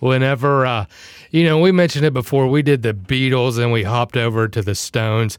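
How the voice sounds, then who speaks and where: A normal speaking voice from a man at medium pitch, fairly quick, with ordinary pitch variation. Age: 40s. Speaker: podcast co-host.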